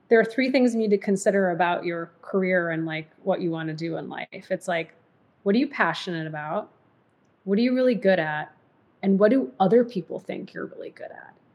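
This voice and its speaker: With a General American accent and an unremarkable speaking voice, a woman of medium pitch talks at a fairly quick pace, her intonation lively and her loudness swinging widely. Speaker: diversity and inclusion executive, podcaster. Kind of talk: casual interview chat.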